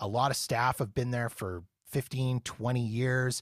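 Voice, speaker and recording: In an unremarkable speaking voice, a man with a Canadian accent talks at a moderate pace and a medium pitch, his intonation fairly even. The recording is very clean, with a silent background. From Canada. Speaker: podcast host, Las Vegas travel enthusiast. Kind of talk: casual interview.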